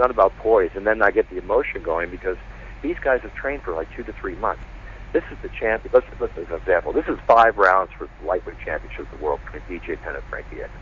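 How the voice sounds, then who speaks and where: Noticeable background noise surrounds a man talking at a very fast pace. His loudness swings a lot. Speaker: UFC ring announcer. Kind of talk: interview answer. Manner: energetic, passionate.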